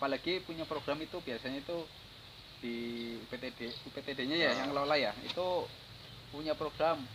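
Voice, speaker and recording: Speaking at a fairly quick pace, a man with a fairly high pitch leaves long, frequent pauses. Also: fairly even intonation. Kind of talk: casual interview host talk.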